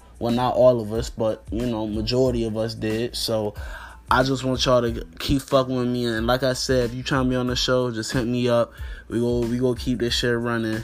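With music in the background, a man talks at a fairly quick pace in an American accent. His intonation is monotone and flat. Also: medium pitch for a man. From US Mid-Atlantic (DC area, Northern Virginia). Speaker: podcast host, college student. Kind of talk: casual vlog monologue. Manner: talkative.

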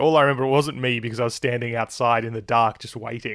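The recording is very clean and the background silent. The speaker is a man with an Australian accent. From Australia, Melbourne. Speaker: F1 journalist and podcast host. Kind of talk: casual interview.

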